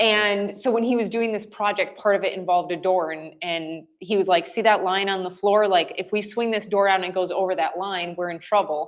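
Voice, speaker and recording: Speaking at a fairly quick pace with hardly any pauses, a woman with an American accent keeps a medium pitch and fairly even intonation. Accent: Wisconsin accent, slight, comes out at times. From US Midwest, rural Wisconsin. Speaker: business services representative. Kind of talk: podcast interview.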